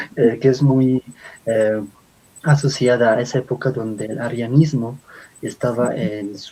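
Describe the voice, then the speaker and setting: Over noticeable background noise, a man with an Andean accent speaks at a medium pitch with fairly even intonation. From Bolivia. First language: Aymara (speaking Spanish). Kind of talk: lecture-style talk.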